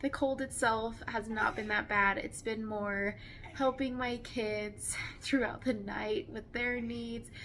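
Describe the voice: A fairly high-pitched woman at a slow pace, her intonation fairly even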